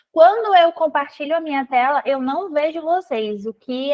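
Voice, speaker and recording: With a Brazilian accent, a woman speaks at a fairly slow pace and ordinary pitch variation. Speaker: financial consultant. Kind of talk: live webinar presentation.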